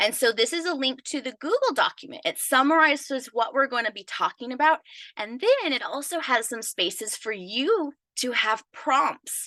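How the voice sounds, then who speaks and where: With a high pitch and lively intonation, a woman projects a raised voice with a bright, sharp tone at a moderate pace, the sound dry and close with no echo against a quiet background. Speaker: business coach. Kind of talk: live webinar training. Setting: live stream video call. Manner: animated.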